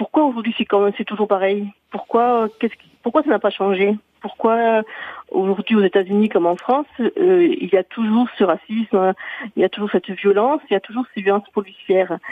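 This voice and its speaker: Here is a normal speaking voice from a woman at a fairly high pitch. She keeps a moderate pace with lively intonation. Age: 50s. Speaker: mother. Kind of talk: radio call-in.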